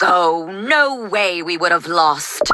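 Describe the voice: Using a cartoonish character voice, a woman speaks at a medium pitch.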